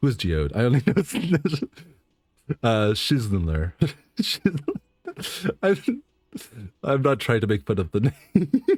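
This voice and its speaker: At a very slow pace with long, frequent pauses, a man speaks at medium pitch, his voice showing vocal fry. His pitch swings very widely, and the sound is dry and close with no echo. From western Canada. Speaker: streamer. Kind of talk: casual chat. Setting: live stream. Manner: halting; over-enunciates at times.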